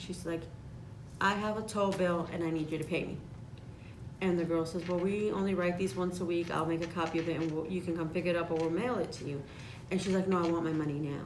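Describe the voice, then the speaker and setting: A woman with an American accent and a fairly low pitch talks fairly quickly, with audible room echo and noticeable background noise. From Chicago. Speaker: insurance agent. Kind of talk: casual chat. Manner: animated.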